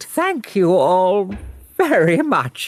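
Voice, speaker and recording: In a put-on character voice, a female-sounding speaker holds a middle pitch. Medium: read story.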